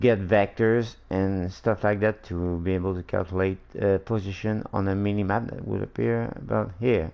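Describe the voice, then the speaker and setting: A man with a non-native accent, fairly low pitch and ordinary pitch variation, moderate pace, hardly any pauses. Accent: non-native English, slurred-sounding. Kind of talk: casual game-dev livestream tutorial. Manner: hesitant, many fillers.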